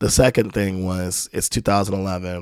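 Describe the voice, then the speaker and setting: Speaking at a fairly quick pace, this man has a very deep, low pitch and fairly even intonation on a very clean recording with a silent background. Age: 30s. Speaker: rapper and trombonist. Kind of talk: casual interview chat.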